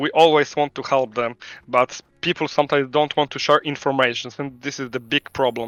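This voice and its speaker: A fairly high-pitched man with a Polish accent, flat and monotone, at a fairly quick pace. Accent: Polish accent, non-native English. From Poland. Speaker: game studio CEO. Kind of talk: interview. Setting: live stream call from home. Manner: halting, many fillers.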